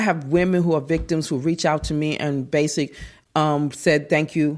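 Very deep and low, a woman's voice comes through a very clean recording with a silent background. She speaks at a fairly slow pace. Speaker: app developer. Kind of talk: interview conversation. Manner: animated.

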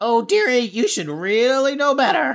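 Moderate pace and fairly high pitch from a put-on character voice. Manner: mocking, sweetly scolding.

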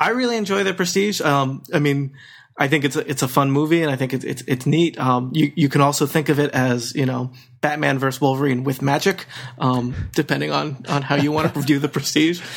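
A plain, everyday voice from a man, fairly quick in pace, with ordinary pitch variation. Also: fairly high pitch for a man, very clean recording, silent background. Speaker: podcast panelist. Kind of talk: casual panel chat.

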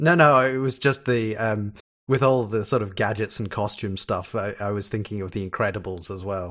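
Speaking at a moderate pace, a man with a fairly low pitch shows ordinary pitch variation. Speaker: podcast guest, TV discussion. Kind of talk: casual chat.

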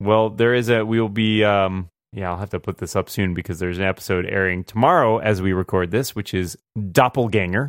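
Here is a plain, everyday voice at a fairly quick pace. The pitch variation is ordinary. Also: man, fairly low pitch for a man. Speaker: podcast host. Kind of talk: casual chat.

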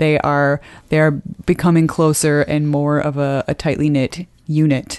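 The woman's pitch is very deep and low, her intonation monotone and flat, and her loudness very even. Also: fairly slow pace. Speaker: podcast co-host. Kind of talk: casual chat.

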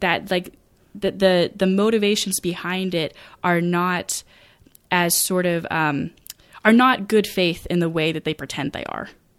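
In an American accent, a woman with a fairly low pitch talks at a moderate pace with ordinary pitch variation and an ordinary speaking voice, on a very clean recording with a silent background. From rural Maine, US. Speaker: podcast host. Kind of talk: casual chat.

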